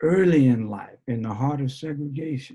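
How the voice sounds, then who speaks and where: This man's voice has a dark, mellow tone, somewhat breathy, with a quiet background behind it. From New Orleans, Louisiana. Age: 70s. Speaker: basketball coach. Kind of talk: interview answer on video call. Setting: video call.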